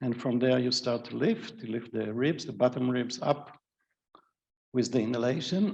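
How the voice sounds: Vocal fry marks a man's voice as he talks at a moderate pace. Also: medium pitch for a man, ordinary pitch variation, slightly mellow tone.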